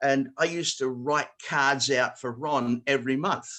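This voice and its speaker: A man with a bright, sharp tone talks at a fairly slow pace against a quiet background. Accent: Australian. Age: 70s. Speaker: square dance caller and note service writer. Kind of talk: online talk to callers. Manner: halting.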